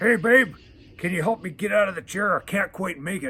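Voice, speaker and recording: A raspy, put-on character voice from a man, high-pitched with ordinary pitch variation, at a fairly quick pace. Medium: read story. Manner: lazy, casual, calls her babe.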